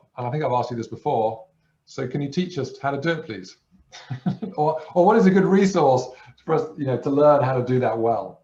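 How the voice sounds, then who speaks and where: Music plays in the background. The speaker moves at a fairly quick pace with ordinary pitch variation. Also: man. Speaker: session participant. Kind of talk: question in online group session. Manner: quiet.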